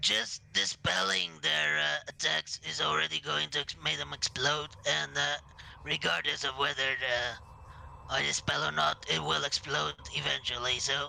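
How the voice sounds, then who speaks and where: A man's put-on character voice at medium pitch and moderate pace, with clear background noise. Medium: actual play. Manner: measured, hesitant.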